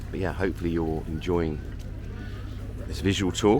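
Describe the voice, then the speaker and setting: A man at a fairly quick clip, with noticeable background noise. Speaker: travel vlogger. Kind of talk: walking vlog tour. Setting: outdoors at a harbour.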